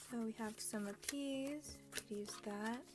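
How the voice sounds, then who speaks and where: A woman with a fairly high voice speaks over noticeable background noise. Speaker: crafting vlogger. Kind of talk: casual craft tutorial chat. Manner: monotone.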